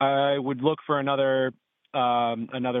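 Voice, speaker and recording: A man with a plain, everyday voice, an American accent and medium pitch, speaking at a moderate pace. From Massachusetts. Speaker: caller, electrician and landlord. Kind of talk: phone-in advice call. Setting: phone call.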